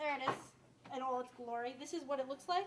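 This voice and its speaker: A woman speaks at a high pitch in a strong downstate New York accent, with noticeable background noise behind her. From Westchester, New York (downstate). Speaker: cooking show host. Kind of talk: cooking demonstration. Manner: casual, chatty.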